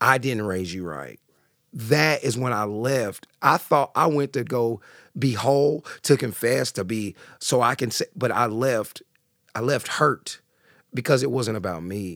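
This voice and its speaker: A man with a Southern US accent talks at a fairly slow pace and a medium pitch. The recording is very clean and dry, close with no echo and a silent background. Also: ordinary pitch variation. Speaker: boxing class instructor and author. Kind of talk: casual interview.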